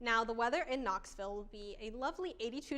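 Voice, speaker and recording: A woman's normal speaking voice, fairly high and fairly quick, with ordinary pitch variation. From Georgia, US. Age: 20s. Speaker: news reporter. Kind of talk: TV weather forecast.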